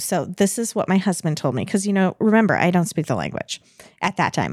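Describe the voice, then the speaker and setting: With a fairly quick pace, vocal fry and an American accent, the voice comes through on a very clean recording with a silent background and a dry, close sound with no echo. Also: woman. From United States. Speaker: podcast guest. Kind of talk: storytelling in casual chat.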